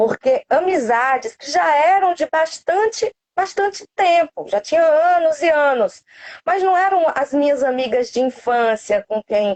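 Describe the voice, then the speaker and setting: Speaking in a northeastern Brazilian accent at a fairly slow pace, a woman uses high pitch with very wide pitch swings, in a dry, close sound with no echo. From Cariri, Ceará, northeastern Brazil. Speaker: cancer survivor, student. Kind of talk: interview testimony.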